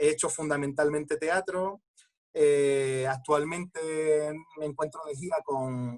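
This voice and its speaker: The pace is fairly slow as this man talks. His intonation remains fairly even throughout. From Andalusia, Coín (Málaga). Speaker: actor. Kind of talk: panel discussion. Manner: halting.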